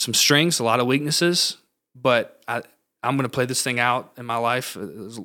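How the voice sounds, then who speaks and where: A man's medium-pitched voice with a Southern US accent, bright and sharp in tone, at a moderate pace, on a very clean recording with a silent background. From US South, Georgia (northwest Atlanta area). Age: 20s. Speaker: pastor. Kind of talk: casual chat.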